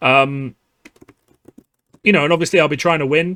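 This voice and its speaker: Speaking fairly quickly in a British accent, a man with fairly high pitch and a bright, sharp tone shows ordinary pitch variation. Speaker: card game youtuber. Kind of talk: casual podcast monologue. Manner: many filler words.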